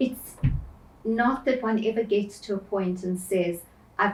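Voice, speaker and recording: The voice is somewhat breathy. It moves at a fairly slow pace with fairly even intonation. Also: woman. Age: 60s. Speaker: spiritual medium and life coach. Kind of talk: interview.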